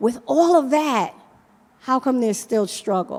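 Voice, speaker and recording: With a New York accent, a woman speaks in a high voice with lively intonation. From Brooklyn, New York. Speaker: nonprofit leader. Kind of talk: conference panel talk.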